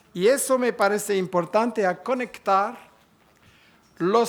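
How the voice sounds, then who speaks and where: A man with a non-native accent, high pitch, ordinary pitch variation and a fairly slow pace. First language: French (speaking Spanish). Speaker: conference speaker. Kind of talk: conference talk. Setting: conference hall with audience. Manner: halting.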